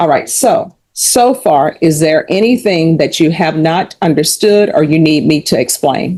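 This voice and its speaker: A woman speaks with hardly any pauses, her pitch fairly low, her loudness very even and her tone dark and mellow. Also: lively intonation. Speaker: judge. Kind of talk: court hearing. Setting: courtroom. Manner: fast; formal.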